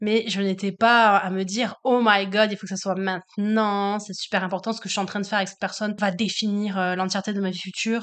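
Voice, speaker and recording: A woman talks fairly quickly at a medium pitch, with hardly any pauses. Her intonation is flat and monotone, over a quiet background. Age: 20s. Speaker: high school French teacher. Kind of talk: casual chat.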